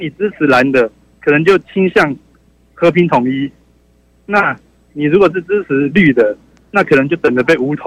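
Recorded dry and close with no echo, a man with a Taiwanese accent speaks at a fairly high pitch with ordinary variation, pausing long and often. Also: moderate pace. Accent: Taiwanese Mandarin. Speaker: caller. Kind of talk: call-in opinion. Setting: phone call.

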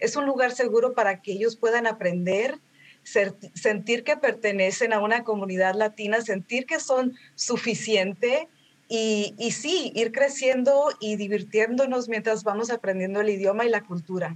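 A woman with a normal speaking voice, fairly high-pitched, at a fairly slow pace with ordinary pitch variation. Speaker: language learning community founder. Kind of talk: interview.

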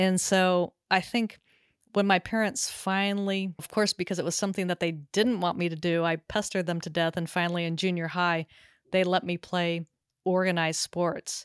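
A woman with an American accent and a plain, everyday voice, fairly low in pitch with fairly even intonation, at a moderate pace, in a very clean recording with a silent background and a dry, close sound with no echo. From Southern California. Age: 50s. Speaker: pickleball podcaster and sports psychologist. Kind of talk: interview.

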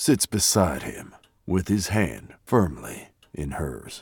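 A man talks at a fairly slow pace in a fairly low pitch with vocal fry. His pitch swings very widely. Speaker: narrator of audio drama. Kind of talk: dramatic narration. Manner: grave, suspenseful storyteller pacing.

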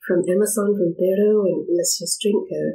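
Here a woman has an unremarkable speaking voice. She talks at a moderate pace with a medium pitch. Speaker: shamanic guide and painter. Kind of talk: casual interview chat.

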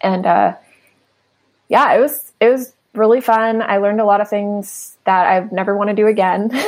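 In an unremarkable speaking voice of medium pitch, a woman speaks at a moderate pace with fairly even intonation. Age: 40s. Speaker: art gallery founder. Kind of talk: casual interview chat. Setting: remote call from home.

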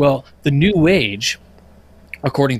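Delivered in a normal speaking voice, the speech has lively intonation. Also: man. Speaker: podcast panelist giving a lodge education presentation. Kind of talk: casual, conversational lecture style.

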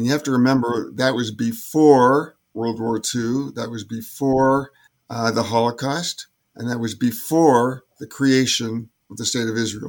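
A man's medium-pitched, plain, everyday voice, with fairly even intonation at a fairly slow pace. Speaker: former Olympic sailor. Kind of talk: interview, recounting memories.

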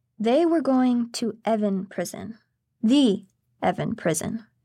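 On a very clean recording with a silent background, a woman's fairly high, somewhat breathy voice shows ordinary pitch variation. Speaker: narrator. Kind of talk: true-crime narration. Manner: measured, grave, steady storytelling pace.

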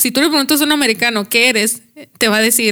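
A woman's fairly high voice has a bright, sharp tone and lively intonation. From northern Mexico, Chihuahua area. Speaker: podcast guest. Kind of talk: casual chat.

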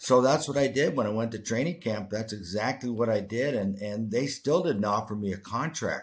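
On a very clean recording with a silent background, a man with a Canadian accent and an ordinary speaking voice talks at a moderate pace and medium pitch, with ordinary pitch variation and hardly any pauses. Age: 60s. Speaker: retired hockey player. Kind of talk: interview.

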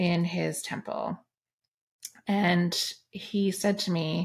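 Somewhat breathy and fairly even in intonation, a woman speaks at a medium pitch on a very clean recording with a silent background. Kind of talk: casual chat.

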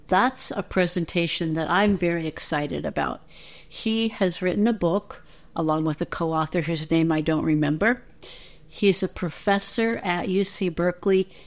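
In a very clean recording with a silent background, a woman with an ordinary speaking voice talks at a moderate pace and a fairly low pitch, with ordinary pitch variation. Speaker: listener contributor. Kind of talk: recorded message.

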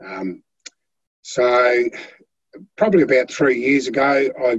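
With an Australian accent, a man speaks at a moderate pace. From Australia, Tasmania (Flinders Island). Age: 50s. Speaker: heart patient, boat builder. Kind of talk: interview testimony.

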